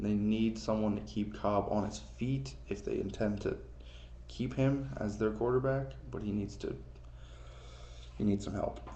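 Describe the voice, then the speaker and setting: Audible room echo surrounds a man who leaves long, frequent pauses. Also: fairly slow pace. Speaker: amateur sports vlogger. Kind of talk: casual solo commentary, NFL mock draft. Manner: casual, hesitant with fillers.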